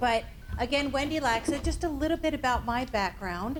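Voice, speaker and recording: This woman talks at a moderate pace with an American accent. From US Northeast. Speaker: suicide prevention trainer. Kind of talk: workshop presentation. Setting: training room with audience.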